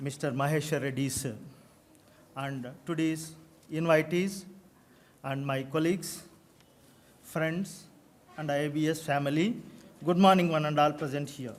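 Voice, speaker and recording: Man's fairly high-pitched voice at a moderate pace, fairly even in intonation, with long, frequent pauses and audible room echo. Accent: Telugu. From South India. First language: Telugu. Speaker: college principal. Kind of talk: formal speech. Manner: halting.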